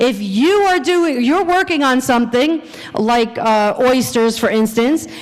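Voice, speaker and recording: A woman with an American accent speaks at a fairly slow pace in a high pitch, her tone animated and her intonation lively, with audible room echo and noticeable background noise. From New Jersey. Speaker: science educator. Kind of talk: conference presentation. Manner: loud.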